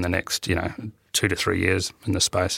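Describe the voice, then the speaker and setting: The man's bright, sharp voice comes with a New Zealand accent. The sound is dry and close, with no echo. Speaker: IT infrastructure and innovation manager. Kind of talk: interview. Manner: hesitant, many fillers and repetitions.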